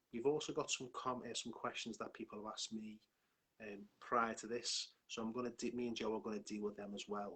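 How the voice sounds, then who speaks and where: A man with a Liverpool accent, medium in pitch, fairly quick in pace and fairly even in intonation. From northern England, Liverpool. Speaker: hypnotherapist and life coach. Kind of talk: live stream talk. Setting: online live stream.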